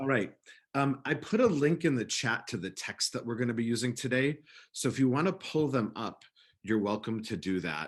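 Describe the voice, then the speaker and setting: With a normal speaking voice, a man talks at a moderate pace and medium pitch, his intonation lively. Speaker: rabbi. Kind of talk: lecture.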